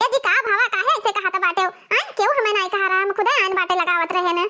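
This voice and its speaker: A squeaky, cartoonish character voice rattles along at a very fast pace, keeping very even loudness and ordinary pitch variation. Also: woman, extremely high pitch for a woman. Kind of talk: cartoon village comedy.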